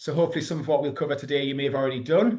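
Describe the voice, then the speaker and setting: A man with a Geordie accent, fairly even intonation and audible room echo. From northern England, Newcastle. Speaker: EV charging consultant. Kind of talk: webinar presentation. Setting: online webinar. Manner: hesitant, many fillers.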